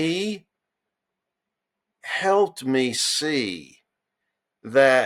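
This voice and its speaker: A man with an American accent and lively intonation on a very clean recording with a silent background. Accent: Southern country accent, comes out at times. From US South, western North Carolina mountains. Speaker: entrepreneur and medical device engineer. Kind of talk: casual interview chat. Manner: animated.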